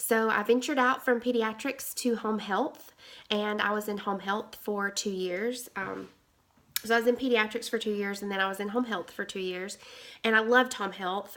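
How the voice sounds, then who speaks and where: A woman's medium-pitched voice in a Southern US accent, bright and sharp in tone, with fairly even intonation. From Alabama. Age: 30s. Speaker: nurse. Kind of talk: interview. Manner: halting.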